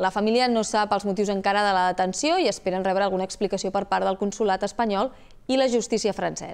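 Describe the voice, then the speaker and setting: Her intonation fairly even, a woman speaks at a very fast pace. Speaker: news anchor. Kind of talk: news reading. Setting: studio. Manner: formal. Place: studio. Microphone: lapel.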